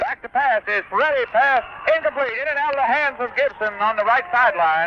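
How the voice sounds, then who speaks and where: Over noticeable background noise, a man with an extremely high pitch talks fairly quickly in a raised, projected voice with lively intonation. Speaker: radio play-by-play announcer. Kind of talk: live radio sports play-by-play. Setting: radio broadcast from a football stadium, 1978 recording. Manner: fast, excited, rapid-fire.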